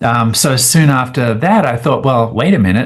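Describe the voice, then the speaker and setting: Against a quiet background, a man with an Australian accent talks with lively intonation. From Australia, rural. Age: 60s. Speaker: scientist. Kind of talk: interview. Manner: hesitant fillers.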